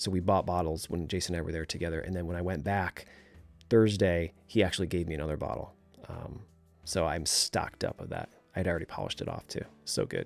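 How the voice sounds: A man in a put-on character voice, very deep and raspy, talks at a very fast pace over background music.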